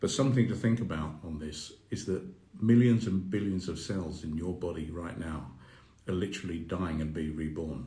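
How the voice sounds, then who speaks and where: A man speaks at a very deep, low pitch in a dark, mellow tone, somewhat breathy, with ordinary pitch variation. Audible room echo surrounds the voice. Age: 60s. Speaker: mindfulness coach. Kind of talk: live Q&A stream. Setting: Instagram live video. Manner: halting.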